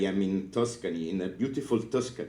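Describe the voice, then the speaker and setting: A man with an Italian accent, ordinary pitch variation and audible room echo. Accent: Italian accent, non-native English. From northern Italy (Piedmont). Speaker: librarian, conference speaker. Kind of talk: conference talk. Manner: halting, many fillers.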